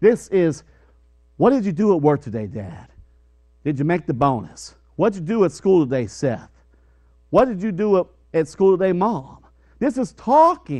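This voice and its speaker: A man with a dark, mellow tone speaks at a moderate pace, leaving long, frequent pauses. The background is quiet. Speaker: preacher. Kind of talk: sermon. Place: church.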